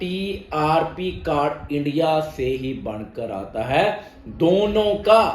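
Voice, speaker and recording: Speaking with a Punjabi accent, a man is heard over noticeable background noise and audible room echo. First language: Punjabi (speaking Hindi). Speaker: immigration consultant. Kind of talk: informational explainer video.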